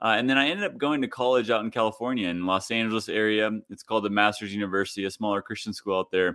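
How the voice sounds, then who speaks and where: Talking at a very fast pace with hardly any pauses, a man with a Midwestern US accent keeps a fairly low pitch and fairly even intonation. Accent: General American, Midwestern. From US Midwest (Kansas). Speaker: leadership coach, former professional golfer. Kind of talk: podcast interview.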